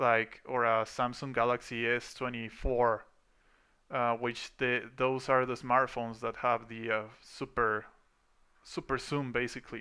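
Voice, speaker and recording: This speaker has a bright, sharp tone and a non-native accent, talking at a fairly slow pace with monotone, flat intonation. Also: man. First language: not English. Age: 30s. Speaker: VFX artist and vlogger. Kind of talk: personal storytelling monologue. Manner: casual, hesitant with fillers.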